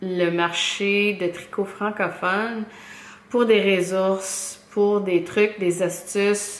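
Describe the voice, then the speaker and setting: A woman speaks at a medium pitch and a very slow pace, with fairly even intonation. Room echo can be heard around her. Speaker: knitting podcaster. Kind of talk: casual podcast monologue. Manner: halting, many fillers and repetitions.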